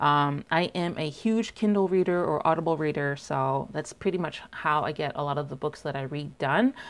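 A woman with a Canadian accent speaks in a very deep, low pitch. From Canada. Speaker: book vlogger. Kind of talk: casual vlog monologue. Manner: hesitant, many fillers. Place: home room. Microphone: lapel.

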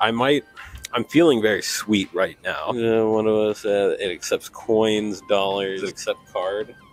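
A man talks at a moderate pace in a dry sound with no echo while faint music plays in the background. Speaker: vlogger. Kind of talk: casual vlog chat. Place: station. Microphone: handheld.

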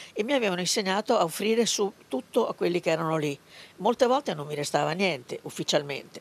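A woman speaks very fast at medium pitch with very wide pitch swings, in a dry, close sound with no echo. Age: 80s+. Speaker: granddaughter of a labour activist. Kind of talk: interview. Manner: halting.

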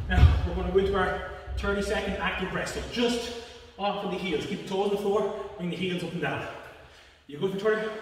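Strong room echo surrounds a man speaking at a fairly quick pace in a high voice with fairly even intonation. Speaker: fitness instructor. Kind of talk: workout instruction. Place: gym. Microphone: camera far.

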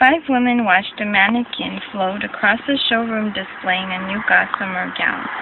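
A woman at a moderate pace with ordinary pitch variation, dry sound without echo, and noticeable background noise. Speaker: reader. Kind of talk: reading a text aloud. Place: home room. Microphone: phone near.

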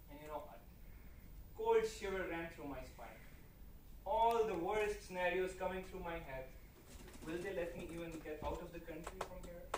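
A man's high-pitched voice at a moderate pace, with audible room echo. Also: ordinary pitch variation.

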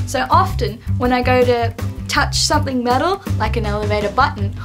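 Over clear background music, a woman talks fairly quickly in an Australian accent. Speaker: vlogger. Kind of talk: casual vlog talk to camera. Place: home room. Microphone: webcam.

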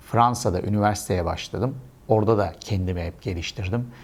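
This man's normal speaking voice sits fairly low in pitch and varies in an ordinary way. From Istanbul, Turkey. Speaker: e-export consultant and trainer. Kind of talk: casual monologue to camera.

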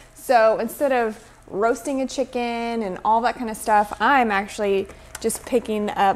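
A woman talks at a medium speed, her intonation fairly flat, with a little noise behind her. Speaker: home cook vlogger. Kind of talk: casual vlog chat. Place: kitchen. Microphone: camera far.

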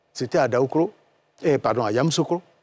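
Male voice with lively intonation. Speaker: politician and pharmacist. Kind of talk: TV panel discussion. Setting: TV studio.

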